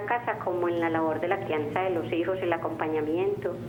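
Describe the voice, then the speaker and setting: Speaking at a fairly quick pace with fairly even intonation, a woman with a fairly low pitch is heard over noticeable background noise and audible room echo. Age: 40s. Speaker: caller. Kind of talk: call-in conversation. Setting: phone call.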